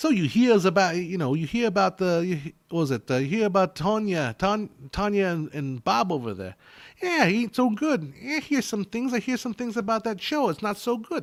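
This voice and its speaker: In a put-on character voice, a man drawls in a New York accent at a moderate pace. His pitch is high and swings very widely. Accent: old-style New York. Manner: tough-guy drawl.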